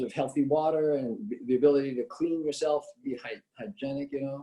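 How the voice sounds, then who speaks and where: A man with a Californian accent has a fairly high pitch and a dark, mellow tone. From California, Bakersfield. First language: Italian. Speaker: political candidate. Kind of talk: candidate interview. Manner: hesitant, many fillers.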